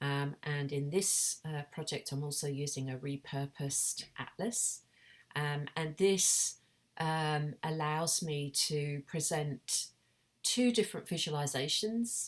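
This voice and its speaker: In a British accent, a woman with a very deep, low voice speaks at a very slow pace with ordinary pitch variation, the recording very clean with a silent background. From Britain. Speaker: artist and academic. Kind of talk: recorded conference presentation. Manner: halting, many fillers.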